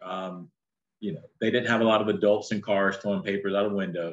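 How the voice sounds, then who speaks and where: A man's fairly low voice in a North Carolina accent, with fairly even intonation. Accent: Southern US (North Carolina). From North Carolina (Shelby, near Charlotte). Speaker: businessman and entrepreneur. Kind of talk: interview conversation.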